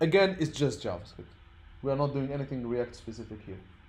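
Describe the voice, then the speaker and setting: This man has a fairly high pitch and a dark, mellow tone, talking at a fairly quick pace with ordinary pitch variation over audible room echo. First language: not English (English is his third language). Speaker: programming teacher. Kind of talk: lecture. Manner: halting.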